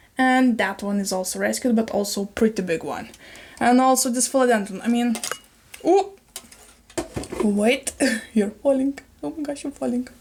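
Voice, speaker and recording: Against noticeable background noise, a woman with a fairly high pitch and lively intonation talks at a moderate pace, pausing long and often. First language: not English (English is her third). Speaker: plant YouTuber. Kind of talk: casual video chat, plant show-and-tell. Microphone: better microphone quality.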